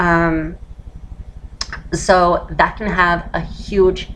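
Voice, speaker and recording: A woman speaks at a very slow pace with noticeable background noise behind her. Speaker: voice feminization tutor. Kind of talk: casual tutorial talk to camera. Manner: switches between masculine and feminine voice.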